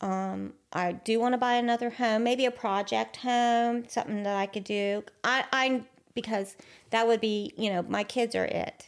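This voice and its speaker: Speaking fairly slowly, the woman uses a fairly high pitch and fairly even intonation. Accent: Appalachian. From southern West Virginia. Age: 60s. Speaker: interview guest sharing life story. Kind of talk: casual interview conversation. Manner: short, plain replies.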